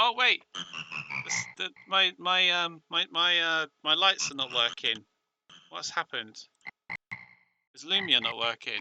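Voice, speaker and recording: Music plays behind a man with a British accent whose pitch runs high and whose intonation is lively. He takes long, frequent pauses, and his loudness swings widely. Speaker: game streamer. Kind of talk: live stream commentary.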